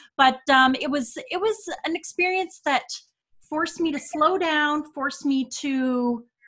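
In a Canadian accent, a woman uses a raised, projected voice with lively intonation. Her tone is bright and sharp. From Canada. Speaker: podcast co-host. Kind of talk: casual interview.

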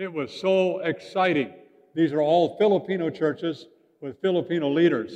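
A man with a Canadian accent speaks at a moderate pace with ordinary pitch variation in a plain, everyday voice. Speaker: pastor. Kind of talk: sermon. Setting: church.

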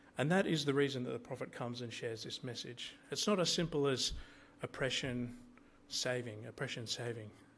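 Speaking at a fairly quick pace in an Australian accent, a man holds a medium pitch with ordinary pitch variation. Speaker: lay preacher. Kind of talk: sermon. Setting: church. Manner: hesitant, many fillers.

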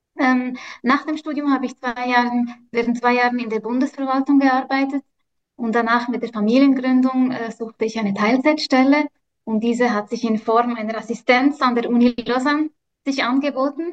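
A woman's high pitch with fairly even intonation, at a moderate pace. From Switzerland. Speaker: social work professor. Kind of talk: interview. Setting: video call. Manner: hesitant with many fillers.

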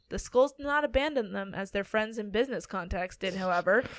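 A woman's fairly high voice with lively intonation at a fairly quick pace. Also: quiet background. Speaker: podcast host and storyteller. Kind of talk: casual chat with story reading. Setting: studio with two mics.

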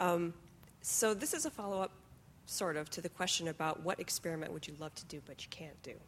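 Speaking at a fairly quick pace in an ordinary speaking voice, a woman with a fairly low pitch shows ordinary pitch variation and big swings in loudness. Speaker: question moderator. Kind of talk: audience Q&A. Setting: stage with audience.

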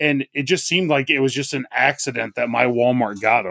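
In an unremarkable speaking voice, a man with a fairly high pitch talks at a fairly quick pace with ordinary pitch variation, the sound dry and close with no echo. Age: 30s. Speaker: wrestling podcast co-host. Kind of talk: casual chat.

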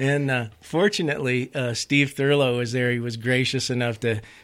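A man with an American accent at a medium pitch, moderate pace and fairly even intonation, in a very clean recording with a silent background. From Colorado and South Dakota. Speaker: musician and ice skater. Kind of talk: casual chat. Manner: halting, repeats words.

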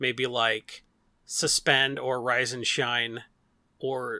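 In a very clean recording with a silent background and a dry, close sound with no echo, a man with an American accent speaks at a medium pitch in a bright, sharp tone. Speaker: Magic card game content site lead. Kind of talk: casual chat.

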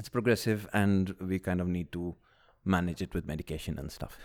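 A man with a very deep, low voice talks at a moderate pace. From UAE, Indian (Kerala) family. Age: 30s. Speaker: marketing executive, patient with lung disease. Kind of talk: casual interview.

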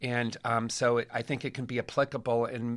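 A man with an American accent talks at a fairly slow pace and a medium pitch. The recording is very clean, with a silent background. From Los Angeles area. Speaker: rabbi and high school teacher. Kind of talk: panel interview.

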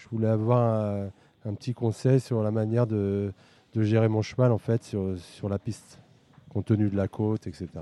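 A man's fairly low-pitched voice, dark and mellow in tone, at a moderate pace with a dry, close sound and no echo. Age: 50s. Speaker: amateur harness racing driver. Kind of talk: interview.

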